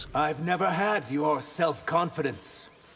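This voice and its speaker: Using a put-on character voice, a man talks at a fairly slow pace and a fairly high pitch. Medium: video game.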